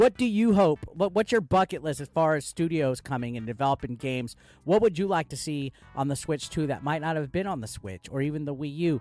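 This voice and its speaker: Music plays in the background as a man speaks at a fairly quick pace. His pitch is fairly high and his intonation lively. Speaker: gaming YouTuber. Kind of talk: casual video commentary. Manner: animated, excited.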